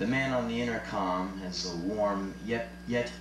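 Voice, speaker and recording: Through audible room echo and noticeable background noise, a man speaks very slowly with very wide pitch swings. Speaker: spoken word performer. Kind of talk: live spoken word performance. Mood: sardonic, comic. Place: stage.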